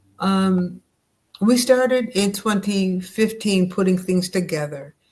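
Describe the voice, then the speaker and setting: At a very slow pace, a woman with an American accent speaks at a medium pitch with ordinary pitch variation. Her voice is somewhat breathy. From upstate New York. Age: 70s. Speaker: educator and nonprofit founder. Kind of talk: interview.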